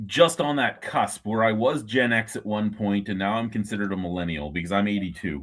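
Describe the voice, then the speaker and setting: A man with a Canadian accent has a fairly low pitch and a bright, sharp tone. The recording is very clean, with a silent background. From Ontario, Canada. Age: 40s. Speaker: beer review streamer. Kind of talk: casual chat.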